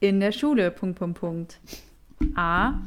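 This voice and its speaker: Speaking at a very slow pace, a woman uses a medium pitch that swings very widely. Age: 20s. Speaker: podcast co-host. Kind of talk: casual chat.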